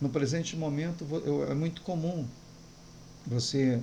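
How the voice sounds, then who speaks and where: The speaker is a man. There is audible room echo. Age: 60s. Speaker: pastor. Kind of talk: sermon.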